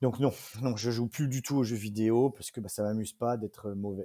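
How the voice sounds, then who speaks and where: A man's medium-pitched voice, dark and mellow in tone, with fairly even intonation at a fairly slow pace, on a very clean recording with a silent background. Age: 30s. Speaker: esports team co-owner and entrepreneur. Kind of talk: interview.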